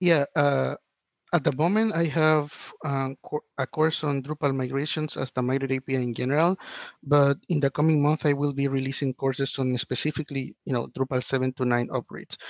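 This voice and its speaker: Speaking at a fairly quick pace with a Spanish accent, a man with fairly high pitch keeps his intonation fairly even, the sound dry and close with no echo. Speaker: web developer and online instructor. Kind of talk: podcast interview.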